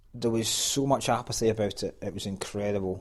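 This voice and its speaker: A man with a Scottish accent, fairly low in pitch, at a moderate pace. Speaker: stand-up comedian. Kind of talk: casual chat. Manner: animated.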